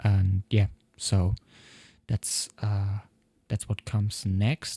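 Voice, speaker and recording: The man's voice is fairly low, somewhat breathy, and dark and mellow in tone. The sound is dry and close with no echo, on a very clean recording with a silent background. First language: not English. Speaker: software developer vlogger. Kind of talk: tutorial. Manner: halting.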